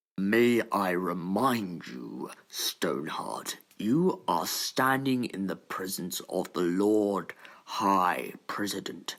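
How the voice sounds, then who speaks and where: Putting on a character voice, a man speaks at a fairly low pitch with lively intonation. His delivery is very slow. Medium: audio drama. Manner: formal, authoritative.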